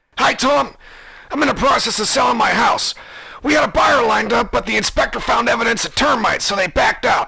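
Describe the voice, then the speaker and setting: In a raspy, put-on character voice, someone shouts at a fairly quick pace with ordinary pitch variation, light background noise behind. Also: man, extremely high pitch for a man. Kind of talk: comedic radio caller. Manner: eager, excited.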